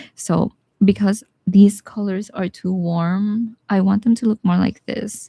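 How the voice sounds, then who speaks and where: A woman speaks at a fairly slow pace in a flat monotone, her tone dark and mellow and somewhat breathy. The sound is dry and close with no echo. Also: medium pitch for a woman. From Philippines, Bisaya-speaking region. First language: Bisaya (Cebuano). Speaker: watercolor artist. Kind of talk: live painting tutorial. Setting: live stream. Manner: casual, chatty.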